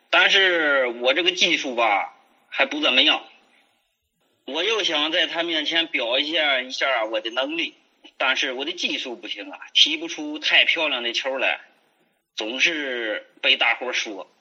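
A man with a fairly high pitch speaks fairly slowly, his pitch varying in an ordinary way. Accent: Hebei. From Hebei, China. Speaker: childhood friend, business owner. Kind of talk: casual storytelling chat.

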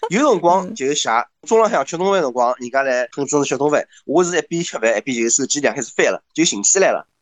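The talk races along at a very fast pace with lively intonation. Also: man, fairly high pitch for a man. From Shanghai. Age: 30s. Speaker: bank employee and blogger. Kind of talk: casual chat.

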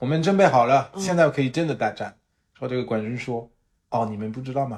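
A man talks at a fairly quick pace with a somewhat breathy voice. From France. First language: French (speaking Chinese). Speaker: podcast co-host. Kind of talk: casual chat. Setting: living room at home. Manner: halting.

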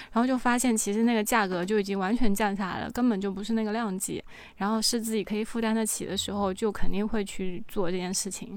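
A woman's fairly high, monotone, flat voice at a very fast pace with hardly any pauses. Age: 30s. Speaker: cosmetic treatment enthusiast. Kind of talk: casual chat.

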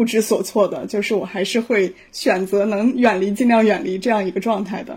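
The woman's fairly high voice is somewhat breathy and moves at a moderate pace. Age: 30s. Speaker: psychological counselor. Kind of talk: casual discussion. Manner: hesitant, many fillers.

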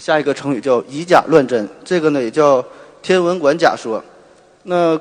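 This man speaks with a strong northeastern Chinese accent. His pitch is fairly high. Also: ordinary pitch variation, moderate pace. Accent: strong northeastern Mandarin. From Northeast China, Shenyang. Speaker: surgeon and podcaster. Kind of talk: popular science talk. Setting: stage with audience.

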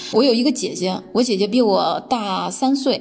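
Vocal fry marks a woman's voice as she speaks at a moderate pace. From mainland China. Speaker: guest sharing personal experience. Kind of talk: personal talk, self-recorded monologue. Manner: hesitant, many filler sounds.

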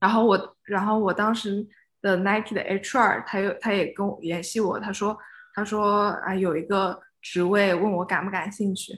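Against a quiet background, a woman talks at a moderate pace with a medium pitch and a monotone, flat intonation. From China, Suzhou. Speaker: spatial experience designer. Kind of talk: casual interview.

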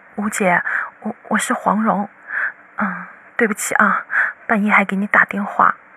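A put-on character voice, fairly high and shaky, at a moderate pace with long, frequent pauses. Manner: apologetic, anxious.

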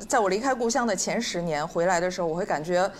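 A woman at a fairly quick pace, with lively intonation and an unremarkable speaking voice. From Shenyang, Liaoning. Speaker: guest panelist. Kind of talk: casual panel chat. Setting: stage with live audience.

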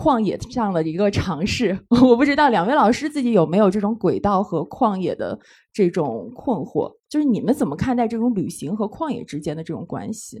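Fairly high-pitched and fairly quick, a woman speaks with very wide pitch swings. The recording is very clean, with a silent background. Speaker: live event host and editor. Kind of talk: live panel discussion with audience. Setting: stage with audience.

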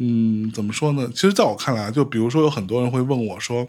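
A man with a northeastern Chinese accent talks at a very fast pace. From Northeast China. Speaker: podcast host. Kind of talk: casual chat. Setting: studio.

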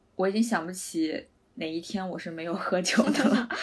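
A woman at medium pitch and moderate pace, ordinary pitch variation, with noticeable background noise. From China. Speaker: podcast co-host. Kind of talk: casual chat.

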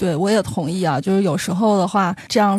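A woman's normal speaking voice at medium pitch, ordinary pitch variation, fairly quick pace. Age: 30s. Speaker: tour leader with a consumer-research day job. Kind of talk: interview conversation.

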